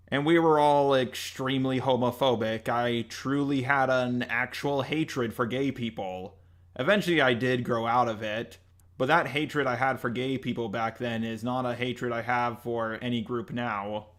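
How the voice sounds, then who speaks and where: Speaking with an American accent, a man holds a medium pitch and fairly even intonation. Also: moderate pace. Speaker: YouTuber. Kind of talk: apology video.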